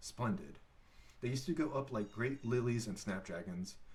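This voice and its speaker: Somewhat breathy, this voice keeps to a moderate pace. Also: man. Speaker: father reading aloud. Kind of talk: read-aloud audiobook. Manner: halting, with stumbles.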